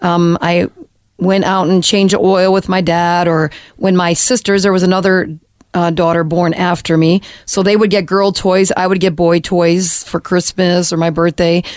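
A woman speaks with an American accent in a fairly low pitch. Her intonation is monotone and flat, and her loudness stays very even. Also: moderate pace. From US, Detroit area, Michigan. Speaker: former missionary sharing testimony. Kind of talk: testimony. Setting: studio.

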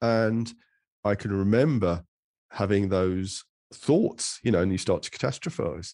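A man with an English accent speaks at a fairly low pitch. The sound is dry and close, with no echo. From England. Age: middle-aged. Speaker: psychotherapist and author. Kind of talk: interview. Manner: halting.

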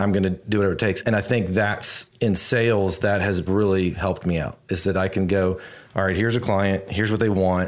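With an American accent, a man talks at a fairly quick pace. He has a plain, everyday voice, fairly low in pitch. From Virginia, US. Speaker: real estate agent. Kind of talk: interview conversation.

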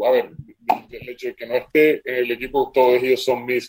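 Monotone, flat intonation at a moderate pace. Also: man. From Colombia. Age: 20s. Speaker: professional basketball player. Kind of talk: interview. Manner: halting, many repetitions and fillers.

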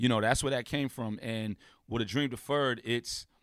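An unremarkable speaking voice moves at a moderate pace with fairly even intonation on a very clean recording with a silent background. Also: man. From Brooklyn, New York. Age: 40s. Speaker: rapper. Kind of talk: casual chat.

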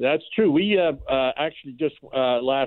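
A man speaks in an ordinary speaking voice with a Canadian accent. His pitch is medium, with ordinary variation. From Canada. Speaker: fishing lodge owner. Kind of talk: phone interview.

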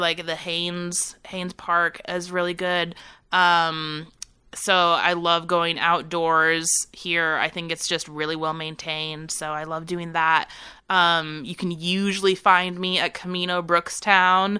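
With an American accent, a woman speaks in a fairly low pitch, her tone bright and sharp and her intonation monotone and flat. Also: very clean recording, silent background. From California, San Francisco Bay Area. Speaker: fashion designer and business owner. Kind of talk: casual interview. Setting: office parlor room.

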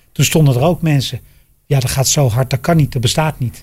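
Somewhat breathy delivery at a fairly quick pace, with ordinary pitch variation. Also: man. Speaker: podcast host, former racing driver. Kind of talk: casual chat. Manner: halting.

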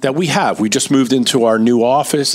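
A man at medium pitch and a fairly quick pace, with ordinary pitch variation and noticeable background noise. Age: 50s. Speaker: financial advisor. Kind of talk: casual chat. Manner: animated.

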